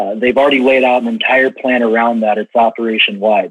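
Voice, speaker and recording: He speaks with a Midwestern American accent at medium pitch. The man's pace is moderate. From US Midwest, rural Illinois. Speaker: regional sales manager in ag tech. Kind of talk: podcast interview.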